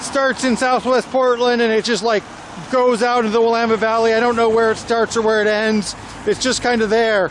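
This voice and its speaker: A man talks at a fairly quick pace in an extremely high pitch, his intonation monotone and flat. His loudness stays very even over noticeable background noise. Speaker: travel vlogger. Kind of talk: walking tour vlog narration. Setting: outdoors in the rain.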